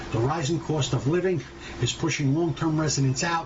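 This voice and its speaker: The speaker has a New York accent and talks at a fairly quick pace with fairly even intonation. Audible room echo and noticeable background noise fill the recording. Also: man. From New York City, Brooklyn. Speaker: podcast host. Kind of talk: opinion monologue.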